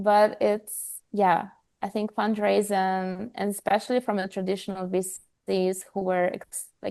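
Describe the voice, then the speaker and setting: A woman with a non-native accent speaks at a fairly slow pace in a medium pitch, her dark, mellow tone held in a monotone, flat intonation against a quiet background. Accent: foreign. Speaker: health startup co-founder. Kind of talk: podcast interview.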